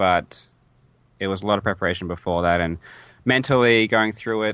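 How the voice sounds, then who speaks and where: At a moderate pace, a man with an Australian accent speaks at a fairly low pitch with ordinary pitch variation. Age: 20s. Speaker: speedrunner. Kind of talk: interview. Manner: halting.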